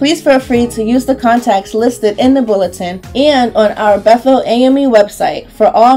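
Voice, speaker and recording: Music plays in the background while the speaker talks at a moderate pace. The tone is warm, with ordinary pitch variation. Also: woman. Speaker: voice actor. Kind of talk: church announcement read. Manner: warm, friendly.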